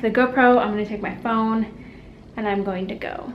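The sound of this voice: With audible room echo, a woman talks at a medium pitch and moderate pace with fairly even intonation.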